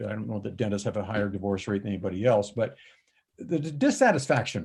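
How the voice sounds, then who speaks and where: This man's voice sits at a fairly low pitch. It sounds somewhat breathy. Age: 70s. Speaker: dental practice coach. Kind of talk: interview.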